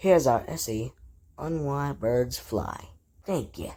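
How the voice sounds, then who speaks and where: A cartoonish character voice pitched low-to-middle, delivered at a fairly slow pace. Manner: crude, profane.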